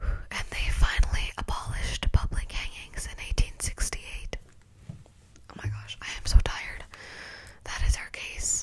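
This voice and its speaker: Whispered speech at a fairly slow pace, with noticeable noise in the background. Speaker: ASMR true crime youtuber. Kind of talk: whispered ASMR true crime storytelling. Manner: whispering; casual with fillers.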